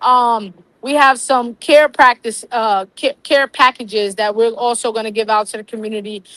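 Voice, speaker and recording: Recorded with a dry, close sound and no echo, a woman speaks at a moderate pace in a fairly high voice with a bright, sharp tone and fairly even intonation. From Harlem, New York City. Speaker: community organizer. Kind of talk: interview.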